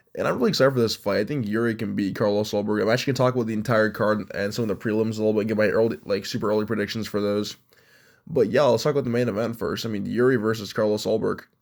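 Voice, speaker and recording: Here a man talks at a medium pitch. He goes at a very fast pace. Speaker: MMA commentary youtuber. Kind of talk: casual video commentary. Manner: animated.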